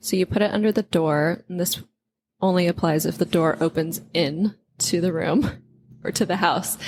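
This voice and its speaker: A woman with an American accent and a plain, everyday voice speaks fairly slowly at a medium pitch, with ordinary pitch variation and a dry, close sound with no echo. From United States. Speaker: podcast co-host. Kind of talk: casual chat.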